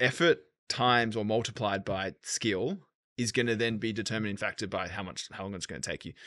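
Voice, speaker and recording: The speaker has an Australian accent and a fairly quick pace. The background is quiet. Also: man. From Australia, Sydney. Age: 30s. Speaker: entrepreneur. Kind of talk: casual chat.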